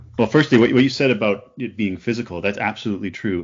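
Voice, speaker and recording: Speaking fairly quickly in a Canadian accent, this is a normal speaking voice with ordinary pitch variation. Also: man. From Canada. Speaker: opera singer and writer. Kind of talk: podcast interview.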